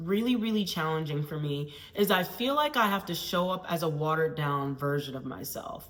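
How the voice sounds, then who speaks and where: A woman at a moderate pace, her intonation lively, with audible room echo and noticeable background noise. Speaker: PhD student scientist and vlogger. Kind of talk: casual vlog monologue. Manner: loud, bold.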